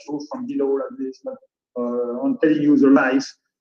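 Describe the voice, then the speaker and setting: This man's tone is dark and mellow. His pitch swings very widely. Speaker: design school representative. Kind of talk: presentation. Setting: video call. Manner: fast.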